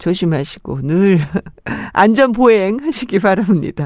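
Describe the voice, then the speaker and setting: Her pitch swings very widely as she speaks. The recording of this woman is very clean, with a silent background. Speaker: radio host. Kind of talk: radio show with listener messages and music. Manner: warm, friendly.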